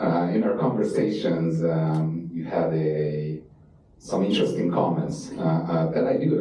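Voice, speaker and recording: A man talks at a moderate pace, with audible room echo and noticeable background noise around his voice. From Eastern Europe. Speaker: panel moderator. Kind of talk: panel discussion. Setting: stage with audience.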